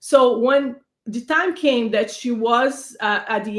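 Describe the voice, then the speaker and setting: This woman has a Brazilian accent. Her voice sits at a high pitch. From Brazil, São Paulo. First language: Portuguese. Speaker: panelist, advocate for immigrants and women. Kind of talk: panel discussion. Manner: halting, many fillers.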